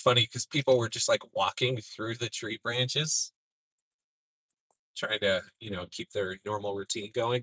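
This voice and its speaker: A man's medium-pitched, bright, sharp voice with a Minnesotan accent, fairly slow with long, frequent pauses and ordinary pitch variation, in a dry, close sound with no echo. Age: 40s. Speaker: storm chaser. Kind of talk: live stream commentary.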